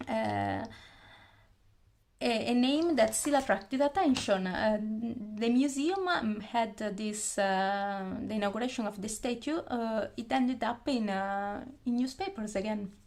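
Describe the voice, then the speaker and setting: With noticeable noise behind her, a woman speaks fairly slowly in a fairly high voice with an Italian accent and ordinary pitch variation. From Italy. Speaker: YouTuber, anime fan. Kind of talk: casual talk to camera. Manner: halting, many fillers.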